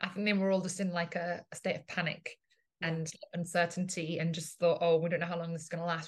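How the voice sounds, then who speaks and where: The speaker talks very fast with an English accent in a somewhat breathy, monotone voice with flat intonation. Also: woman. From England. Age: 30s. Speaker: business and marketing coach. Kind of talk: casual chat.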